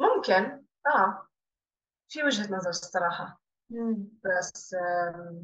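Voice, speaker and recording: Very slowly and with long, frequent pauses, a woman speaks with ordinary pitch variation. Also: medium pitch for a woman. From Jordan (Amman). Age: 30s. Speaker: business owner. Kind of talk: interview.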